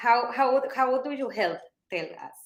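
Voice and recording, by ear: Intonation is lively as a woman talks at a fairly slow pace. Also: fairly high pitch for a woman.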